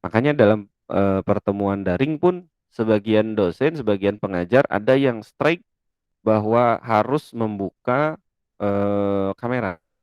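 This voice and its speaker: At a fairly slow pace, a man talks with a fairly low pitch and ordinary pitch variation. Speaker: lecturer. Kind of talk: lecture. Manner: loud.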